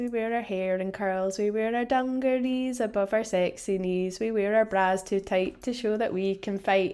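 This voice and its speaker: At a moderate pace, someone with a Scottish accent speaks with fairly even intonation. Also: woman. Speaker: podcast host. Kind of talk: casual interview chat.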